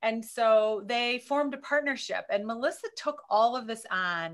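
Over a quiet background, a woman with a high pitch speaks at a moderate pace with lively intonation. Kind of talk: meeting report. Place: home room. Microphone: video call.

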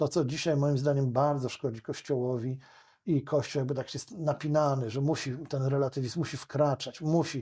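A man's fairly high, somewhat breathy voice at a moderate pace, with fairly even intonation over a quiet background. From Poland. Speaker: lawyer; podcast guest, lawyer. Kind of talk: interview conversation. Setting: studio. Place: studio. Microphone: studio mic.

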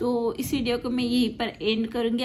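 A woman speaks in a high pitch. Light background noise can be heard. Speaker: family vlogger. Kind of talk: casual vlog chat. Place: home room. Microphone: phone near.

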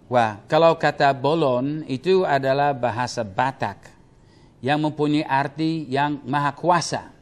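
A man speaks with a Papua New Guinean accent. His pace is fairly slow. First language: Tok Pisin (speaking Indonesian). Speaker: Bible teacher. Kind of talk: Q&A teaching session. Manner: halting, many fillers. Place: studio. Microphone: lapel.

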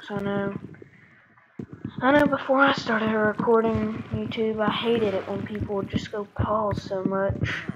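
Here a woman speaks at a moderate pace with fairly even intonation and a fairly high pitch. Noticeable background noise can be heard. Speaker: gaming YouTuber. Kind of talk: gameplay commentary. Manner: casual, conversational.

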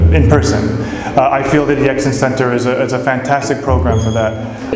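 A man talks at a fairly quick pace. Noticeable background noise and audible room echo surround him. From San Francisco Bay Area, California. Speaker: volunteer English teacher. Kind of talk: casual testimonial to camera. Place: classroom. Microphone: lapel.

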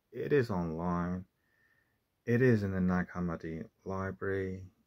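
Against a quiet background, a man speaks at a fairly slow pace. His pitch is very deep and low, with ordinary variation. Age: 40s. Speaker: religious video essayist; religious commentator. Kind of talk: monologue lecture. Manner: halting, with frequent fillers. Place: home room. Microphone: phone near.

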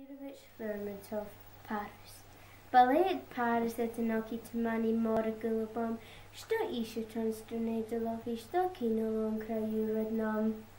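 Very slow speech from a woman at fairly high pitch, fairly even intonation, noticeable background noise. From Scotland. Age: young. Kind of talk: poetry reading.

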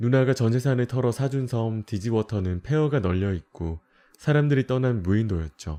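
A man speaks at a moderate pace in a calm, dark, mellow tone with ordinary pitch variation. The sound is dry and close with no echo, and the background is quiet. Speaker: game streamer. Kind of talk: game story narration.

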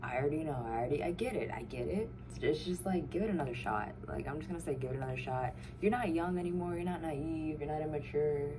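A woman talks at a very fast pace in a very deep, low pitch. Noticeable background noise runs behind her. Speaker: vlogger. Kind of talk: casual vlog chat. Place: home room. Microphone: phone near.

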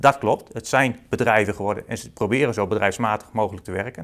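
Over a quiet background, a man talks at a very fast pace with big swings in loudness. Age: 30s. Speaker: accountant and author. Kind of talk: interview. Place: office. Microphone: lapel.

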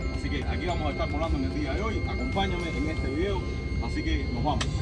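A man speaks fairly quickly as loud music plays behind him. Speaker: travel vlogger. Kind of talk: casual vlog chat. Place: plane.

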